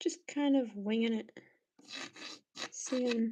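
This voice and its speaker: Very slowly, a woman mumbles in a high voice. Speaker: art livestreamer. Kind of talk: casual chat while painting on livestream. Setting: livestream. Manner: mumbling to herself.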